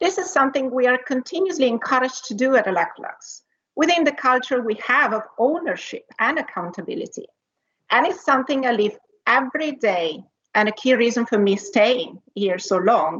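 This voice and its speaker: A woman's high voice with an Italian accent, very wide pitch swings and a fairly quick pace. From Italy. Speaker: corporate executive, R&D leader. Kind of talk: conference panel talk with slides.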